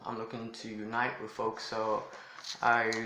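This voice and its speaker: Through audible room echo and noticeable background noise, a man talks at a fairly slow pace. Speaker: lifestyle vlogger. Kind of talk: casual vlog talk. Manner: toned down, subdued here.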